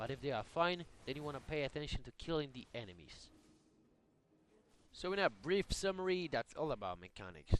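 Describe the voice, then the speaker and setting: A man's fairly high voice with lively intonation. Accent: non-native. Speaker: gamer. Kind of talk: game tutorial narration.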